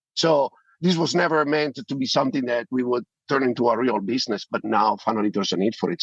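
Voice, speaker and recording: A man with an Italian accent, very fast pace, medium pitch and lively intonation, in a dry, close sound with no echo. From Italy. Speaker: privacy tech company founder. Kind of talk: interview.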